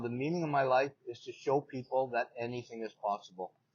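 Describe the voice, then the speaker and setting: At a fairly quick pace, a man with a Canadian accent uses a plain, everyday voice at medium pitch with ordinary pitch variation. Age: 60s. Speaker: paralympic athlete and motivational speaker. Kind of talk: interview. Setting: in person.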